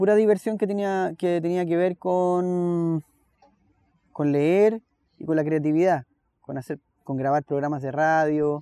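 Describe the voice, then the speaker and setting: With a Chilean accent and a dry, close sound with no echo, a man speaks fairly slowly in a high pitch, dark and mellow in tone, with ordinary pitch variation and long, frequent pauses. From Chile, Santiago. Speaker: musician and teacher. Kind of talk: interview conversation. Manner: halting, with frequent repetitions.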